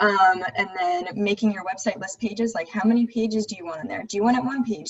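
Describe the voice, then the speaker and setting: Very fast speech over noticeable background noise. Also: woman. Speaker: web design instructor. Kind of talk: online tutorial class.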